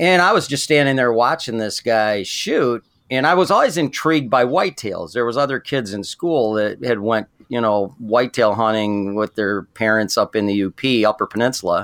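In an ordinary speaking voice, a man talks at a medium pitch with lively intonation, the sound dry and close with no echo. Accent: American. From southern Michigan. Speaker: saddle hunting expert. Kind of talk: interview.

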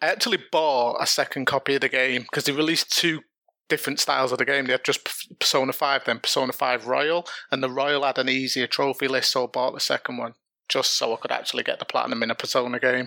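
A man talks at a very fast pace with fairly even intonation. His tone is bright and sharp, and the sound is dry and close with no echo. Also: medium pitch for a man. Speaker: longtime listener. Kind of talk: casual chat.

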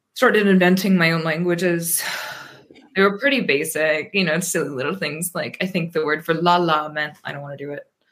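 The speaker has a plain, everyday voice and an American accent, talking at a fairly quick pace. Pitch variation is ordinary, while loudness swings a lot. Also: woman, fairly low pitch for a woman. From US, Pennsylvania. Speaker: poet and translator. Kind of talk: interview.

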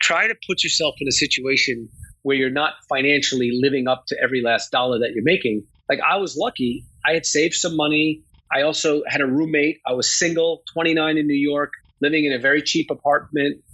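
In an ordinary speaking voice, a man talks fairly quickly at a fairly high pitch, with very even loudness and ordinary pitch variation. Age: 50s. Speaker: talent agent. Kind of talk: interview.

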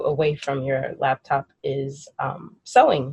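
A woman speaks in a warm, playful tone that is somewhat breathy. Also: dry, close sound with no echo. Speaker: podcast host. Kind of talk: interview. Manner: warm, playful, laughs often.

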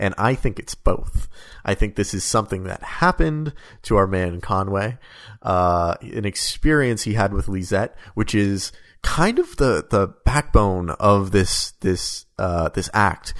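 A man talks in an ordinary speaking voice, fairly low in pitch and with ordinary pitch variation. His pace is fairly slow against a quiet background. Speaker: podcast co-host. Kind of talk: casual chat about a video game.

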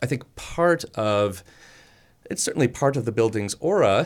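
Speaking with an American accent and a normal speaking voice, a man keeps a moderate pace, medium pitch and lively intonation in a very clean recording with a silent background. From Chicago. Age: 30s. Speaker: architect and professor. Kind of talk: radio interview. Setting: radio studio.

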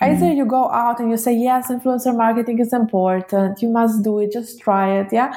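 At a fairly quick pace with hardly any pauses, a woman speaks at a fairly high pitch with fairly even intonation over noticeable background noise. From Israel, born in Russia. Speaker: event industry blogger and founder. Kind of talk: interview.

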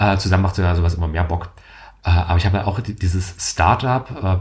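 This man's pitch is very deep and low, and he is somewhat breathy. He talks at a fairly quick pace. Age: 20s. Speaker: podcast host. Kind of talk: casual chat.

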